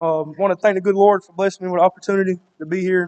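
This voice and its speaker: A man talks at a very fast pace in a high voice. The sound is dry and close, with no echo. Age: 20s. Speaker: powerlifting champion, student. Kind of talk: thank-you speech.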